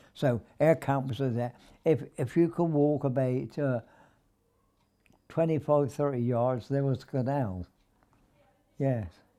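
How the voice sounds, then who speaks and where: A man with a southern English accent speaks at a fairly slow pace with long, frequent pauses, his tone dark and mellow. His pitch is medium with ordinary variation, on a very clean recording with a silent background. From Wargrave, Berkshire, England. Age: 80s+. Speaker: war veteran. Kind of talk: interview answer. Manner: hesitant.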